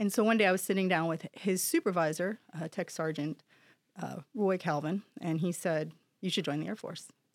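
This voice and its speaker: With an American accent, a woman talks at a moderate pace and medium pitch in an ordinary speaking voice, using ordinary pitch variation. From New Jersey. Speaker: senior military enlisted leader. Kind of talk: interview.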